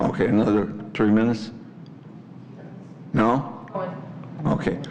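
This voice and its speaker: Recorded with audible room echo and noticeable background noise, a man talks with an American accent and ordinary pitch variation. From Chicago, US Midwest. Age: 80s+. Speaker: resident at public comment. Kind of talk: public comment at village board meeting. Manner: rambling, halting.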